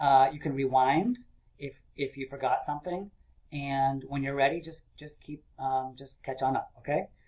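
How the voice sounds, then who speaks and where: A man with an unremarkable speaking voice talks at a moderate pace in a fairly high pitch, with fairly even intonation and big swings in loudness. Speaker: elementary school teacher. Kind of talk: video lesson for young children.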